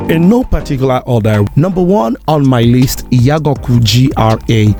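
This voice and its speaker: A man speaks at a medium pitch and a moderate pace, with lively intonation and very even loudness. Music plays in the background. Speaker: broadcaster, voiceover artist. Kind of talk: casual talk to camera.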